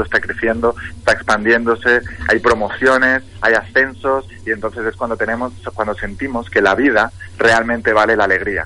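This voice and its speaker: A man speaks at a medium pitch and a fairly quick pace. Noticeable background noise runs underneath. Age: 30s. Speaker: motivational coach. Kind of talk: radio interview. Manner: enthusiastic.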